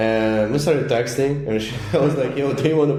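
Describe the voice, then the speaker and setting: Fairly quick, with fairly even intonation, a man speaks. Noticeable background noise and audible room echo surround him. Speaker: international student, podcast co-host. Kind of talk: casual chat.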